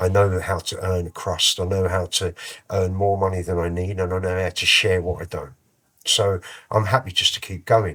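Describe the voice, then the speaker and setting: A man with a London accent, very deep and low in pitch, bright and sharp in tone, monotone and flat in intonation, at a moderate pace, on a very clean recording with a silent background. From London, Islington (Holloway). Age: 50s. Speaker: musician and rapper. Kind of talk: interview conversation. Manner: casual, relaxed.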